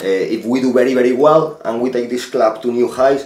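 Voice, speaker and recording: A man with a Spanish accent speaks at a moderate pace in a medium pitch, his intonation fairly even. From Spain. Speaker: football manager. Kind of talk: interview. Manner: halting.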